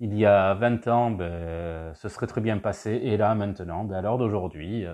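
Against a quiet background, a man talks at a very slow pace. His pitch is fairly low, with ordinary variation. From southwestern France, Basque Country. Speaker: podcast host. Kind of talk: solo monologue podcast. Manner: hesitant, many fillers.

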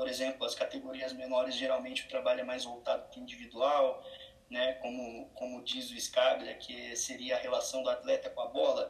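Against noticeable background noise, a man's voice shows big swings in loudness. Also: moderate pace. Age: 20s. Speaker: football performance analyst. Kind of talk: interview. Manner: halting.

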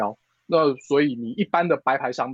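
A man speaks with lively intonation. The sound is dry and close, with no echo. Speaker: e-commerce product director. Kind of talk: interview. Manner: fast.

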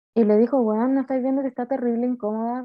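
Speaking at a fairly quick pace, a woman keeps a high pitch and fairly even intonation. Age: 20s. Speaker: podcast co-host. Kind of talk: casual chat.

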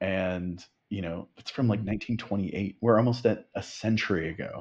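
Fairly low and fairly even, a man's unremarkable speaking voice moves at a fairly slow pace. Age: 30s. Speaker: screenwriter. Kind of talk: casual chat.

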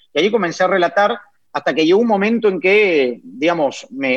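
The man talks at a fairly quick pace with very wide pitch swings. The sound is dry and close, with no echo. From Peru. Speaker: sports commentator. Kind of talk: interview.

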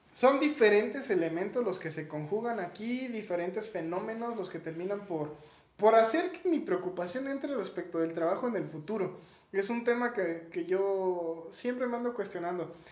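A man speaks at a moderate pace with a Mexican accent and a high pitch. His intonation is lively, and the room echo is audible. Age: 20s. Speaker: podcast co-host. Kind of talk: casual chat.

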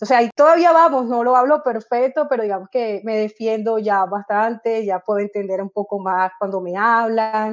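Against a quiet background, a woman with a normal speaking voice talks at a moderate pace, her fairly high pitch showing ordinary variation. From Colombia, Caribbean coast (Barranquilla). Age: 30s. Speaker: football coach. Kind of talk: interview.

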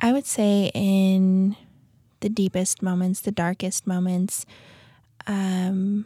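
In a dry, close recording with no echo and a silent background, a woman with an American accent speaks very slowly in a dark, mellow, somewhat breathy tone with monotone, flat intonation. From US West, South Lake Tahoe, California. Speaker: stay-at-home mom sharing trauma story. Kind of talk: testimony. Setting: studio. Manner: halting with fillers.

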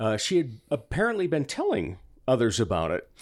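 There is vocal fry as a man talks at a moderate pace with very wide pitch swings. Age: 50s. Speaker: comedian and voiceover artist. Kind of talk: casual chat.

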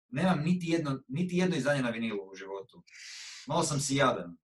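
Fairly high in pitch, a man talks at a fairly quick pace. His pitch swings very widely. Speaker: musician and music producer. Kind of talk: casual chat.

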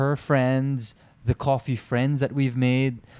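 Very slowly and in a sing-song way, a man with a medium pitch speaks in a very clean recording with a silent background. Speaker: podcast co-host. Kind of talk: casual chat. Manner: sing-song modulated.

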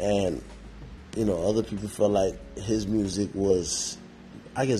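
At a moderate pace, a man speaks in a fairly low pitch with a dark, mellow tone that is somewhat breathy. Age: 30s. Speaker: podcast host. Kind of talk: casual solo monologue. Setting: podcast recording. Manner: rambling with many fillers.

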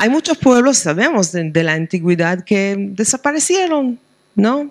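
With a slight Argentine accent, this voice moves at a fairly slow pace with lively intonation, and the sound is dry and close with no echo. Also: woman. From Israel, Jerusalem. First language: Hebrew (speaking Spanish). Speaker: rabbi and professor of liturgy. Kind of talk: book presentation interview. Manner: halting, with frequent hesitations.

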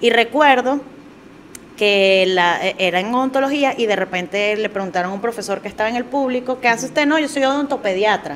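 A woman speaks at a fairly quick pace with lively intonation and a fairly high pitch. Noticeable background noise is present. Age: 30s. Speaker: comedian. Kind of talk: casual chat.

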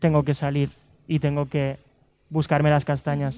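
A man's voice sits fairly high in pitch and carries a dark, mellow tone. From Lleida, Catalonia, Spain. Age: 20s. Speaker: dancer and dance teacher. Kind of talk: interview.

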